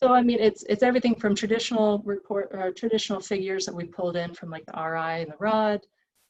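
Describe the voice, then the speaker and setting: A plain, everyday voice speaks at a fairly quick pace with ordinary pitch variation. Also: woman. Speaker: environmental consultant presenting site report. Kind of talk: technical presentation at online public meeting.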